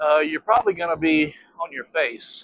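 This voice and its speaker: A man speaks in a high voice, and the sound is dry and close with no echo. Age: 50s. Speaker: electric unicycle reviewer. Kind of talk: casual ride-along review vlog. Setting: outdoors riding on roads. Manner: casual with frequent fillers.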